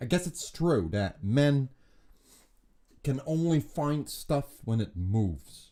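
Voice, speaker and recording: A man with a fairly high pitch and a dark, mellow, somewhat breathy tone speaks at a very slow pace, with lively intonation and long, frequent pauses. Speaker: streamer. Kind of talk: casual live stream chat. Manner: articulated on air.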